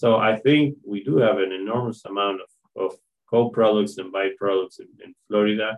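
A man with a Spanish accent talks at a moderate pace in a fairly low pitch. His intonation is fairly even, while his loudness swings widely. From Argentina. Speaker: animal science professor. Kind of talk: interview. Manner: halting, with frequent fillers.

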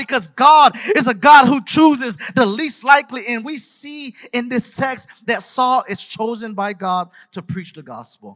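Over music in the background, a man with an extremely high voice projects loudly in an animated tone, speaking fairly slowly with ordinary pitch variation and big swings in loudness. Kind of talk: sermon, preacher in full flow. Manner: animated, rhythmic, exhorting the congregation with repeated parallel lines; passionate, direct appeals and questions to audience.

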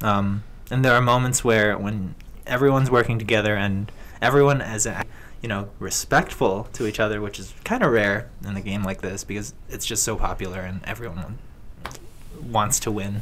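Speaking at a moderate pace, a man with an unremarkable speaking voice keeps a fairly low pitch and fairly even intonation. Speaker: video game enthusiast. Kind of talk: casual chat.

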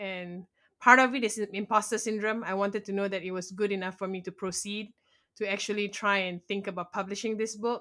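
With a Malaysian accent, a woman speaks at a fairly quick pace in a bright, sharp tone at medium pitch, her intonation monotone and flat, on a very clean recording with a silent background. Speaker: blogger and aspiring author. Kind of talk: interview.

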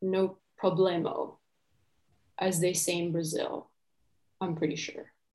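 A woman with a fairly low pitch talks at a fairly slow pace in a monotone, flat way, with long, frequent pauses. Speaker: workshop facilitator. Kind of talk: guided workshop talk. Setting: video call.

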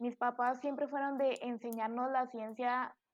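Her pitch is high. The woman's intonation stays fairly even. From Colombia. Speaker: podcast guest sharing eating disorder story. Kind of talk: testimony.

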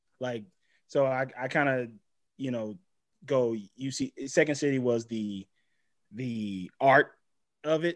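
Long, frequent pauses mark a man's very slow speech, with ordinary pitch variation, on a very clean recording with a silent background. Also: medium pitch for a man. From Los Angeles, raised from age eight; born Mississippi. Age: 30s. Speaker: TV writer, improviser and actor. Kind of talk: casual chat.

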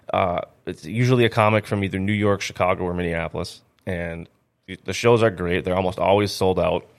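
In an Upper Midwest accent, a man talks at a fairly quick pace with a fairly low pitch and fairly even intonation. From North Dakota, Grand Forks. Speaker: stand-up comedian. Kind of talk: casual chat.

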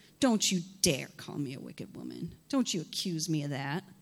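In a put-on character voice, a woman speaks at a very deep, low pitch. Her intonation is lively. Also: moderate pace. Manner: sassy, indignant.

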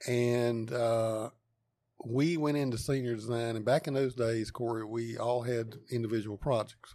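A man's medium-pitched voice with a dark, mellow tone, fairly slow pace, and a North Carolina accent. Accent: Southern US (North Carolina). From US South, eastern North Carolina (Wendell, Wake County). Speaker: engineering professor. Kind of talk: interview. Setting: on location at university lab.

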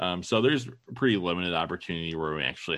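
Against a quiet background, a man speaks in a Midwestern American accent with a bright, sharp tone. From Ohio (Toledo). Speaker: podcast co-host, father. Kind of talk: casual chat.

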